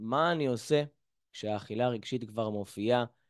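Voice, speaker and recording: Against a quiet background, a normal speaking voice moves at a moderate pace with ordinary pitch variation. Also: man. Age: 20s. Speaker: mental coach; lecturer on emotional eating. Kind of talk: lecture. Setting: video call. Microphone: video call.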